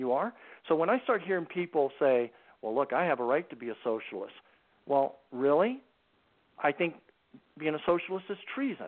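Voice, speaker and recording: A fairly high-pitched man speaks at a moderate pace with lively intonation. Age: 60s. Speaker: anti-trafficking organization founder, former Marine and CIA officer. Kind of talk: radio talk show interview. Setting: phone call.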